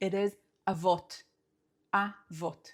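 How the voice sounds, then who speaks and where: In an Israeli accent, a woman speaks at a medium pitch with ordinary pitch variation. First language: Hebrew. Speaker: Hebrew teacher. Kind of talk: language lesson talk to camera.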